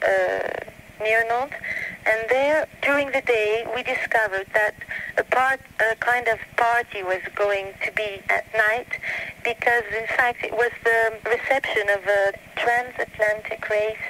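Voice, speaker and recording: Noticeable background noise sits behind a woman with a fairly high pitch. She talks at a fairly slow pace with fairly even intonation. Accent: American. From Canada, Italian family. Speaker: French teacher and interviewer. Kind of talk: interview. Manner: halting.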